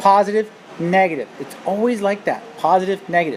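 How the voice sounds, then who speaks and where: A woman at medium pitch speaks at a moderate pace over noticeable background noise. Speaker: math teacher. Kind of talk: tutorial. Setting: screencast recording. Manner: animated.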